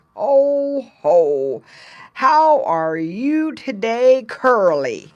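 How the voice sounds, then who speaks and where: A put-on character voice, female-sounding and high-pitched, very slow, with very wide pitch swings over a quiet background. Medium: read story.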